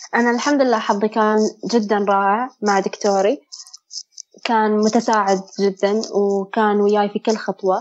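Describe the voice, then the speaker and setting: A woman talks at a moderate pace in a medium pitch, her intonation monotone and flat. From Bahrain. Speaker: medical student sharing mental health experience. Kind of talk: testimony.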